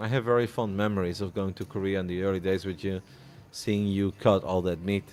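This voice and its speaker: A man with a fairly low pitch moves at a fairly quick pace, his intonation fairly even. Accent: Dutch. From Netherlands. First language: Dutch. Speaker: poker commentator. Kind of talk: live commentary; casual chat.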